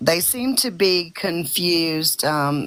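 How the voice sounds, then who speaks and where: In a Southern US accent, a woman speaks with a calm tone. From US South. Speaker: protester. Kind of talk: casual chat. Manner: slow.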